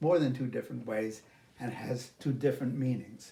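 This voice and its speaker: A man with a New York accent, medium pitch, and a dark, mellow, somewhat breathy tone. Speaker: English teacher. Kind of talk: lesson. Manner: slow, careful enunciation.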